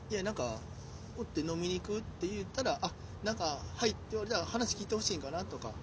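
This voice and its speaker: Speaking with a Kansai accent, a man talks very fast at a high pitch with lively intonation. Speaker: comedian, podcast host. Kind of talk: casual chat. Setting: outdoors in a park.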